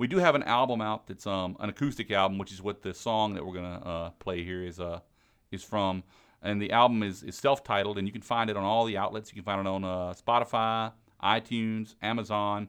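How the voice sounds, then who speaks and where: A man with an American accent in an unremarkable speaking voice, fairly low in pitch, with fairly even intonation and a fairly quick pace. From US South, Mississippi Gulf Coast. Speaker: musician. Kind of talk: casual interview.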